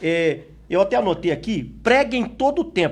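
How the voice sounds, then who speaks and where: In an Espírito Santo accent, a man speaks at a fairly slow pace with lively intonation. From Espírito Santo, Brazil. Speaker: pastor and Bible school teacher. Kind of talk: Bible study lesson. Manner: sounds like arguing, forceful.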